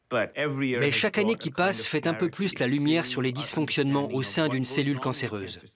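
A man's voice with ordinary pitch variation, dry with no echo, against noticeable background noise. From France. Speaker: voice actor. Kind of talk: documentary narration. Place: booth. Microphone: studio mic.

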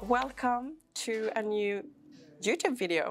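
A woman talks at a medium speed, her pitch moving in a normal way. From Sweden. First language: Swedish. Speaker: vlogger and fitness trainer; fitness vlogger. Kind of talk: vlog. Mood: relaxed, cheerful.

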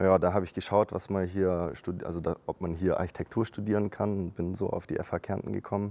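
A man talks in a very deep, low pitch with a dark, mellow tone and monotone, flat intonation. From Germany. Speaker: architect and university marketing coordinator. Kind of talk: casual interview chat. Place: factory.

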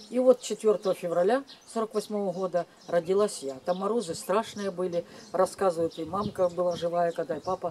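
A woman with a dark, mellow tone talks at a moderate pace with ordinary pitch variation over light background noise. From Ukraine. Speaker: vlogger telling family memories. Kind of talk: casual personal storytelling to camera. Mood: calm, reflective. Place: garden. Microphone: camera far.

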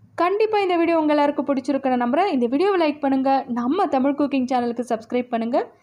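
A woman speaks with lively intonation. There is noticeable background noise behind her. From India, Kolar Gold Fields (Karnataka), Tamil-speaking. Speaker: YouTuber. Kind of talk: casual vlog narration. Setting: outside and inside a cinema theatre.

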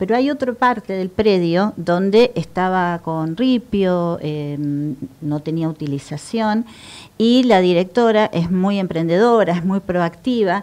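A woman is speaking. Her voice has ordinary pitch variation. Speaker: guest. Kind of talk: interview answer. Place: studio. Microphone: lapel.

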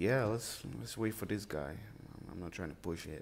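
Very deep and low, this man's voice carries vocal fry. He moves at a moderate pace with very wide pitch swings. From Nigeria. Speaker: mobile game streamer. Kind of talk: gameplay commentary. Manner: casual, excitable.

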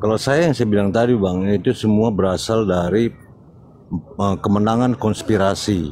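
A man talks at very even loudness with fairly low pitch. Noticeable background noise runs under his voice. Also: ordinary pitch variation, moderate pace. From North Sumatra, Karo Batak. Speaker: debate participant. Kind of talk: religious debate.

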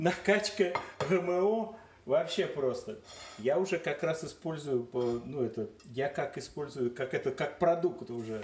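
A man with a Moscow accent speaks fairly slowly at a fairly high pitch, somewhat breathy. Audible room echo and light background noise surround him. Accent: Moscow Russian. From Moscow, Russia. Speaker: home video maker. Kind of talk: casual vlog talk to camera. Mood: joking, playful. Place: kitchen. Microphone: phone near.

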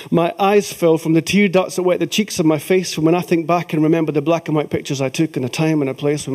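With a Scottish accent, a man talks at a very fast pace with hardly any pauses. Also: quiet background. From Scotland. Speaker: folk singer and poet. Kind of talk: live poetry reading. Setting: theatre stage. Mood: emotional, reflective. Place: stage.

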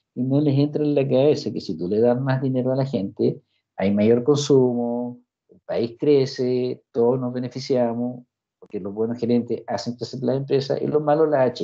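A man with a Chilean accent at a moderate pace, his loudness swinging widely. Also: medium pitch for a man, quiet background. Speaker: university lecturer; course instructor. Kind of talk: lecture. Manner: animated. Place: home room. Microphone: video call.

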